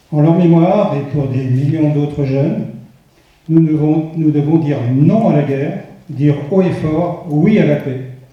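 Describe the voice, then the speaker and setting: Noticeable background noise and audible room echo accompany a man with a fairly high pitch who speaks at a fairly slow pace with fairly even intonation. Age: 70s. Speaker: parliamentary candidate. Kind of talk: political rally speech.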